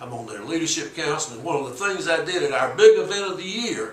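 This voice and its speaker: Over noticeable background noise and audible room echo, a man speaks at a fairly quick pace with lively intonation. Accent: Alabama. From US South, Alabama. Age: 70s. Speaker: civil rights activist. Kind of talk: interview. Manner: halting, repeats words.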